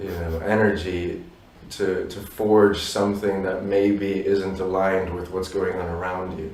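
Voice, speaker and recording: A man's very deep, low voice, fairly slow and monotone, with big swings in loudness, audible room echo and noticeable background noise. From raised abroad by Polish parents. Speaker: musician. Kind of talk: interview. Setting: Warsaw, view of stadium. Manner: halting, many fillers.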